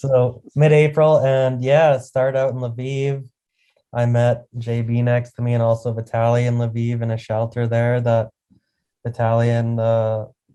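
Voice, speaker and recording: A man with a Canadian accent speaks at a medium pitch in a dark, mellow tone. His delivery is monotone and flat, at a fairly slow pace. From Canada. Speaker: charity volunteer. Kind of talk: interview.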